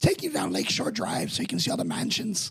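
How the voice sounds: Talking very fast, a man does a raspy put-on character voice with a high pitch.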